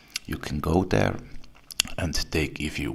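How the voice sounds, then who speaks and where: A man talks with a non-native accent. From Switzerland. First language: German. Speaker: video blogger. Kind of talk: video response.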